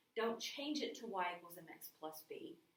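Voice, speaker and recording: Audible room echo surrounds a woman who talks at a fairly slow pace, her pitch fairly high and her intonation lively. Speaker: math teacher. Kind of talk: recorded lecture. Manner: casual.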